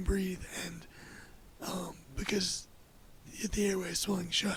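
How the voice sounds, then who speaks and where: Noticeable background noise sits behind a man whose high-pitched voice holds a monotone, flat intonation. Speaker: podcast guest sharing life story. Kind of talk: casual interview conversation. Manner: halting, with many fillers.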